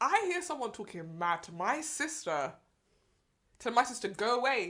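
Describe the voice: A woman speaks with a South London accent at a moderate pace. Her pitch is fairly high with big swings, and her tone is fairly bright.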